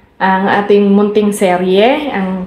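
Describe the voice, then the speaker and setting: A woman speaks very slowly in a room with audible echo and noticeable background noise. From Philippines, Visayas. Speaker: vlogger. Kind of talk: casual vlog talk to camera. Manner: halting, with many fillers and repetitions.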